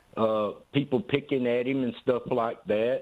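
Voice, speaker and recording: A man with a Southern US accent talks at a medium pitch with fairly even intonation. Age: 60s. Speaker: caller. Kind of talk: call-in comment. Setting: phone call.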